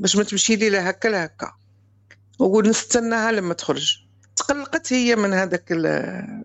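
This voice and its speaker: A woman at a medium pitch talks at a fairly slow pace with ordinary pitch variation. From Morocco. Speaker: caller, mother. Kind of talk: personal testimony. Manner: halting, repetitive.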